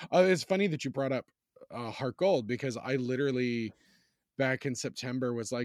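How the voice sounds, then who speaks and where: A man with lively intonation talks at medium pitch on a very clean recording with a silent background and a dry, close sound with no echo. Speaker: podcast host. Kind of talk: radio-style podcast intro. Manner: bright, animated broadcast patter.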